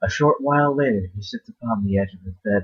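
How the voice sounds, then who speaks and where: A man mumbles his words. He talks at a fairly quick pace. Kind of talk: horror short story reading. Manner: mumbling.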